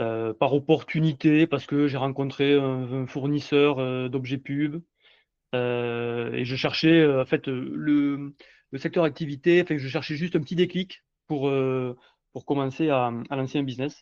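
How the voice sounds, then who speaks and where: Against a quiet background, a man talks at a fairly slow pace with fairly high pitch and fairly even intonation. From southwestern France (Montauban). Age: 40s. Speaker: entrepreneur. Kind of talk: podcast interview. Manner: halting, many fillers.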